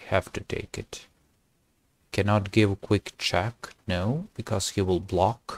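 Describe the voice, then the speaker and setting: The voice is quiet and moves at a very slow pace with fairly even intonation. The sound is dry, with no echo. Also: man. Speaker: chess streamer. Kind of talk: gameplay commentary. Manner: halting.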